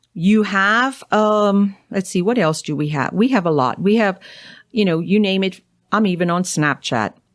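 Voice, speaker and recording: Speaking with a strong Cajun accent, a woman uses a medium pitch and a moderate pace. The recording is very clean, with a silent background. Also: ordinary pitch variation. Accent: thick Cajun. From Louisiana, Cajun. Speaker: naturopathic doctor. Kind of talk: interview.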